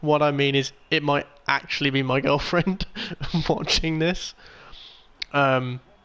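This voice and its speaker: A man with a Birmingham accent talks fairly slowly, with long, frequent pauses. His fairly high voice holds very even loudness and fairly even intonation. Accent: Birmingham (Brummie) English. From England, Birmingham. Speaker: video game streamer. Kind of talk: live gameplay commentary. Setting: live stream while playing a racing game.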